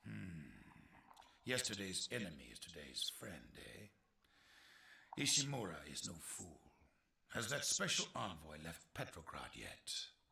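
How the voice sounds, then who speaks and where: Using a put-on character voice, a man speaks at a fairly slow pace with a very deep, low pitch and very wide pitch swings. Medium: video game. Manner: measured, condescending.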